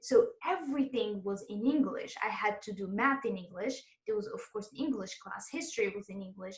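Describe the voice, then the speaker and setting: A woman speaks at a fairly quick pace in a fairly high, somewhat breathy voice with lively intonation. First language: Arabic and French. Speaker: exam prep course host, interviewer. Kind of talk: interview.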